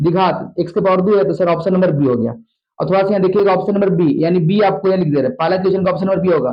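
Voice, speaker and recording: This man's voice sits at a high pitch with ordinary pitch variation. He speaks at a very fast pace. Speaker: maths teacher. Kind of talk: tutorial. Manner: fast, repetitive.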